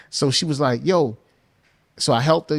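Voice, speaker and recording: With a New Orleans accent, a man talks at a fairly quick pace in a fairly high pitch with ordinary pitch variation, on a very clean recording with a silent background. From US South, New Orleans. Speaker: music producer and songwriter. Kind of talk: podcast interview, casual chat.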